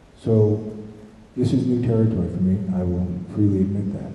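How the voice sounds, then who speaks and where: Audible room echo and noticeable background noise surround a man with an American accent. His pitch is fairly low and his intonation fairly even. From US East Coast. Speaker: city council candidate, retired Marine. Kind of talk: candidate opening statement. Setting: candidates forum in school with audience.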